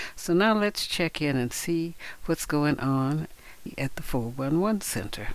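The voice moves at a very slow pace with lively intonation and very even loudness. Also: man, fairly high pitch for a man. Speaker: radio host and poet. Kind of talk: radio show hosting with poetry reading. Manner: warm, upbeat, effusive.

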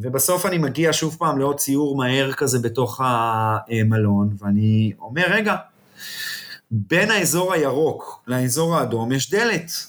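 A man speaks very slowly at a fairly high pitch. His loudness stays very even. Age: 40s. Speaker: TV and film producer. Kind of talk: interview. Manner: halting.

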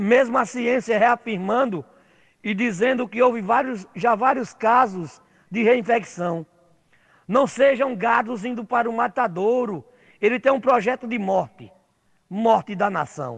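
This man's voice sits extremely high in pitch, with ordinary pitch variation. He talks at a fairly slow pace, leaving long, frequent pauses. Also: quiet background. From Rio Grande do Norte, Brazil (Natal). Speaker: social movement activist. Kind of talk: prerecorded talk.

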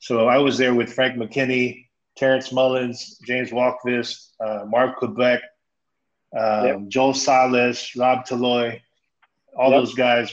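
A man with a Californian accent. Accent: Californian American English. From Stockton, California. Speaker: former pro basketball player. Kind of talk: casual chat.

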